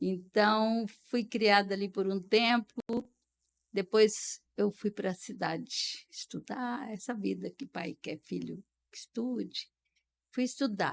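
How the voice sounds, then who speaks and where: A woman speaks at a very slow pace and medium pitch, with ordinary pitch variation. Her loudness swings widely, and the sound is dry and close with no echo. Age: 70s. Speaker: retired dentist. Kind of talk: podcast interview, life story.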